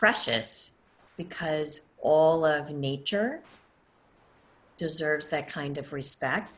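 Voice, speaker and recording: A woman with an American accent talks very slowly in a very deep, low pitch, with ordinary pitch variation and long, frequent pauses. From US South. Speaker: energy healer and teacher. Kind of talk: online class. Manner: casual.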